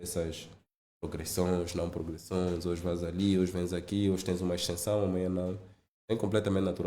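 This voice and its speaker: With a very deep, low pitch and a dark, mellow tone, a man speaks at a fairly quick pace in monotone, flat intonation, and audible room echo surrounds him. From Angola, Zaire province. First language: Lingala and Kikongo (speaking Portuguese). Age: 30s. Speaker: finance executive. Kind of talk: podcast interview.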